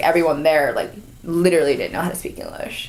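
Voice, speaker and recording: A woman with an American accent talks at a fairly quick pace. Room echo is audible and background noise is noticeable. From US West Coast, Orange County, California. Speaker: content and marketing staff. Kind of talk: casual interview. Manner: casual, filler-heavy speech.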